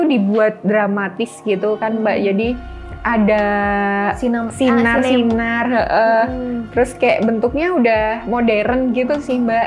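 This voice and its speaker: With music in the background, a woman speaks at a fairly high pitch and fairly slow pace, using ordinary pitch variation. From Yogyakarta, Indonesia. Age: young. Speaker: wayang puppeteer (dalang). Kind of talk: interview answer.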